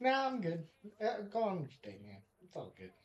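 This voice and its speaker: In a put-on character voice, a man talks at a fairly quick pace. His pitch sits high. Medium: actual play. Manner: casual, chatty.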